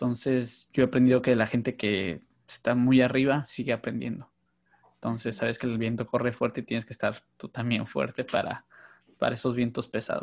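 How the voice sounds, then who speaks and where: A man with an unremarkable speaking voice talks at a moderate pace and medium pitch. His intonation stays fairly even. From northern Mexico, Mexicali. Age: 30s. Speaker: podcast host. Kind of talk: casual chat.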